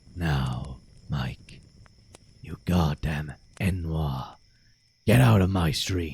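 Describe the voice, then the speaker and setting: A raspy, put-on character voice at a very slow crawl, broken by long, frequent pauses. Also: man, very deep, low pitch for a man. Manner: angry, insulting.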